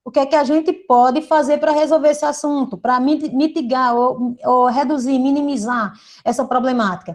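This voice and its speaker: A woman's high-pitched voice moves with ordinary pitch variation over a quiet background. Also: moderate pace. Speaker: teacher. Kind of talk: lecture.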